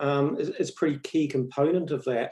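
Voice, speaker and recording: A man with a New Zealand accent at a fairly quick pace. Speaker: education professor. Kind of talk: interview.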